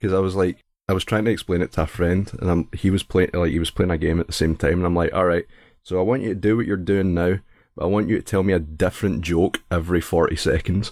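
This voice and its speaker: On a very clean recording with a silent background, a man with a Scottish accent speaks very fast at a very deep, low pitch, his loudness very even and his intonation fairly even. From Scotland. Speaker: streamer. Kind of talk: casual chat.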